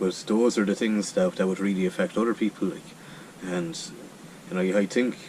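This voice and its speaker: Over noticeable background noise, a man with an Irish accent speaks with ordinary pitch variation. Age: 30s. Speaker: charity walker. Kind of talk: interview. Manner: halting, many repeated words.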